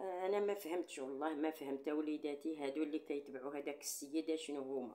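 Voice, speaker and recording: A woman talks at a fairly quick pace with hardly any pauses and very even loudness. Her very deep, low voice has a dark, mellow tone. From Morocco. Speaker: YouTuber. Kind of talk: casual monologue to viewers; casual vlog chat. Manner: animated. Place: home room. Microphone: phone near.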